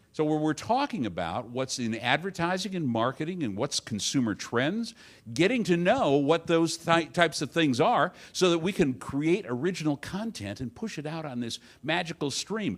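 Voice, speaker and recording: The speaker has a Midwestern American accent and very wide pitch swings. The pace is moderate. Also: man, fairly high pitch for a man. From Detroit, Michigan. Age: 60s. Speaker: advertising agency owner and conference speaker. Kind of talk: conference talk. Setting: stage with audience. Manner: conversational.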